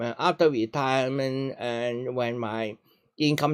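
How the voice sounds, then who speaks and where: A man speaks at a fairly slow pace with ordinary pitch variation. The sound is dry and close, with no echo. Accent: Hong Kong. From Hong Kong. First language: Cantonese. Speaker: retiree giving talks on China. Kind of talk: casual Q&A conversation. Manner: halting, with repetitions.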